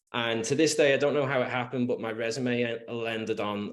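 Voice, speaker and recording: A man speaks in an English accent. His pitch is medium and his pace fairly quick. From England, Liverpool. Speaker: real estate agent. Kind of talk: podcast interview. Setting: podcast. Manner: halting, many fillers and restarts.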